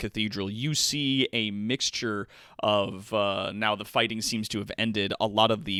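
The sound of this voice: The voice is an unforced reading voice. It reads without strain.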